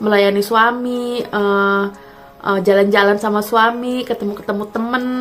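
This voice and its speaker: A woman with a fairly high pitch speaks at a moderate pace in a monotone, flat intonation as noticeable background noise continues. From Jakarta, Indonesia (Kemayoran). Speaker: vlogger and university lecturer. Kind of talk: casual vlog talk to viewers. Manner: halting, many fillers.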